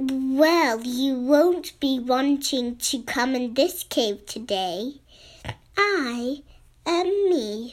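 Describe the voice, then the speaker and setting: In a put-on character voice, a woman speaks at a high pitch and a very slow pace. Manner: intimidating.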